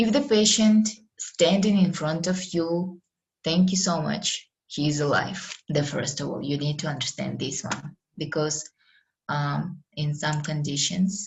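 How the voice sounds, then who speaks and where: A woman's fairly low, somewhat breathy voice with a non-native accent, ordinary pitch variation and a fairly slow pace. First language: Russian. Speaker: medical lecturer. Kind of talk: online lecture. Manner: halting.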